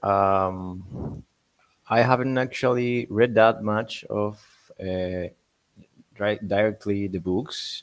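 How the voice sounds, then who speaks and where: The speaker has a non-native accent and ordinary pitch variation. The pace is very slow. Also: man. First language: not English. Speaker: seminar participant. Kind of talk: casual discussion. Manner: halting.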